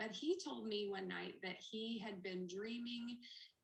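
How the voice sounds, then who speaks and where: The voice moves with ordinary pitch variation, and audible room echo surrounds it. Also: woman. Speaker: network marketing ambassador. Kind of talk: testimony. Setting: video call. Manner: fast.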